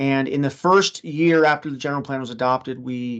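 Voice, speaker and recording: With an ordinary speaking voice, a man talks at a moderate pace in a medium pitch, his intonation fairly even over a quiet background. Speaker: city planner. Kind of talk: webinar presentation.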